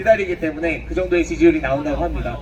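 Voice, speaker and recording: With noticeable background noise behind him, a man speaks with very wide pitch swings. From Honam region, South Korea. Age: 30s. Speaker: political rally speaker. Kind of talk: political rally speech. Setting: outdoors.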